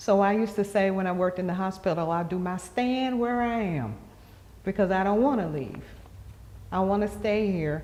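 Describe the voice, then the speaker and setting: A woman with an American accent talks at a moderate pace, her medium-pitched voice dark and mellow. Her pitch varies in an ordinary way, and room echo is audible. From Western North Carolina. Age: 60s. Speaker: community elder interviewee. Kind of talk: interview. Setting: gallery of a cultural center.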